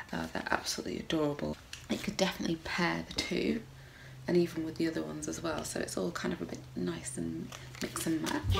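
A woman talks at a very fast pace over noticeable background noise. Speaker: mum vlogger. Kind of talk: casual haul talk to camera. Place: home room. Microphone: phone near.

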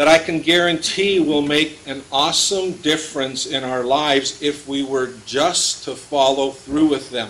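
A man speaks at a fairly slow pace with fairly even intonation. Light background noise is present. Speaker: pastor. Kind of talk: sermon. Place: church. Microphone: podium.

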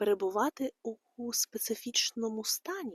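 In a dry, close sound with no echo, a woman with a fairly high pitch speaks at a fairly slow pace. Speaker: meditation guide. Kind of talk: casual talk to listeners.

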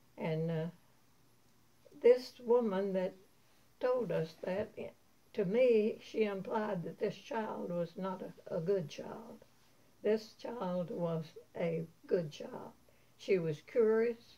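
Speaking at a very slow pace with long, frequent pauses, a woman at medium pitch shows ordinary pitch variation and big swings in loudness. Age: 80s+. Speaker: grandmother sharing memories. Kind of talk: storytelling interview. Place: home room. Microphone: camera far.

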